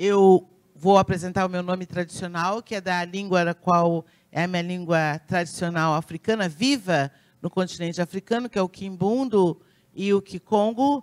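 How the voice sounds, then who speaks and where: Recorded dry and close with no echo, a woman speaks in an unremarkable speaking voice at a medium pitch, with ordinary pitch variation and a moderate pace. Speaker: pediatrician and community leader. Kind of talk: conference talk.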